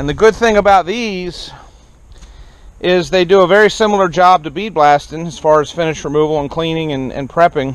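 A man speaks at a high pitch with ordinary pitch variation, in a dry sound with no echo. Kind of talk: casual vlog chat. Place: garden. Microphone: phone near.

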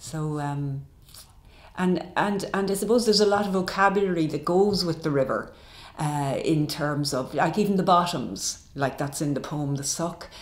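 Audible room echo surrounds a woman who speaks with a fairly low pitch and ordinary pitch variation. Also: moderate pace. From Ireland. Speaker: poet. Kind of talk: interview answer. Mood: warm, reflective. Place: home room.

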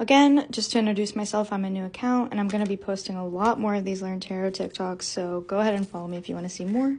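A woman's very fast, somewhat breathy voice, dark and mellow in tone, with ordinary pitch variation. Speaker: tarot content creator. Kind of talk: tutorial. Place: home room.

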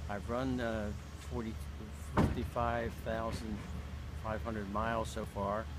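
A man talks at a fairly slow pace with an American accent, leaving long, frequent pauses. Loud background noise runs underneath. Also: dry sound with no echo. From Maryland, USA. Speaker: marathon runner. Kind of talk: interview answer. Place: garden. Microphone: phone near.

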